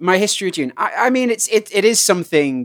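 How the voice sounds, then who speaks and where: With a British accent, a man talks at a fairly quick pace, his pitch swinging very widely. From England. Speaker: podcast guest and voice actor. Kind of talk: casual chat. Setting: remote recording.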